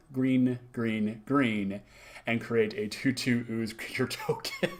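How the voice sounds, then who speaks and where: This is an ordinary speaking voice. It shows ordinary pitch variation. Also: man. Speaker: card game reviewer. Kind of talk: video review. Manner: excited.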